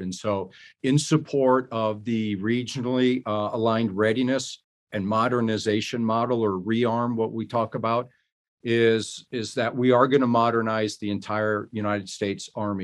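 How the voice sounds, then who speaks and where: A man with an ordinary speaking voice talks at a moderate pace in a fairly low pitch. His intonation is fairly even, and the background is quiet. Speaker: army general. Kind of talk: interview.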